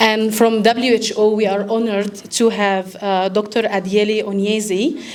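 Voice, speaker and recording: Over noticeable background noise, a woman speaks with an Egyptian accent in a monotone, flat intonation. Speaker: event host, medical doctor and consultant. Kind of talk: formal welcome speech. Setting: live event with audience.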